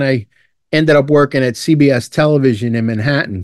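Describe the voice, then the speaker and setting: A man talks in a New York accent. His pace is moderate and his pitch varies in an ordinary way. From Brooklyn, New York. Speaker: retired fire lieutenant. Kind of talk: interview.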